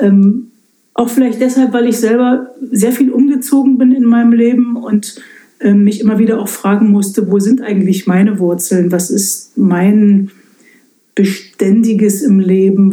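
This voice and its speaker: A woman with a fairly high pitch speaks at a moderate pace. It is a plain, everyday voice with very even loudness. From eastern Germany, Lausitz. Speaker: pastor. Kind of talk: casual interview. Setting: in her study at the parsonage.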